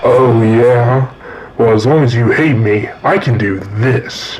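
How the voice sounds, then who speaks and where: The voice is a put-on character voice. It belongs to a man speaking at a medium pitch. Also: fairly slow pace. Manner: angry, menacing.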